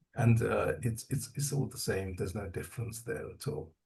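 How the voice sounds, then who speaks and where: A man's somewhat breathy voice, dark and mellow in tone, with ordinary pitch variation. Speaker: spiritual community member sharing experiences. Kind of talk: testimony. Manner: calm.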